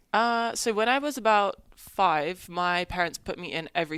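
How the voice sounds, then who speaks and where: On a very clean recording with a silent background, a woman speaks with an English accent and ordinary pitch variation. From England. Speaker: college tennis player. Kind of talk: interview.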